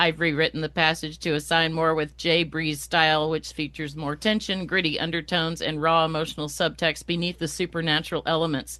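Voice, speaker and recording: A woman's put-on robotic character voice, very deep and low, at a fairly quick pace against a quiet background. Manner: flat, monotone, mechanical.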